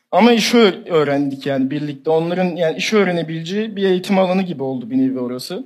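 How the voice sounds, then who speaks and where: Speaking at a fairly quick pace, a man has a high pitch. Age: 20s. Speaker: young entrepreneur and 3D designer. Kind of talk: interview.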